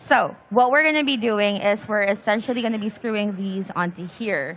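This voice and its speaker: A woman at a moderate pace, fairly high in pitch, with ordinary pitch variation. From Philippines. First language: Filipino. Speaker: PC building workshop host. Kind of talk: live hands-on tutorial.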